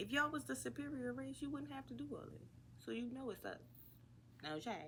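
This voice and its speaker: Animated and very fast, a woman speaks with an American accent. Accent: New Orleans accent, occasional. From US South, New Orleans. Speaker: podcast host. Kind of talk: casual monologue rant.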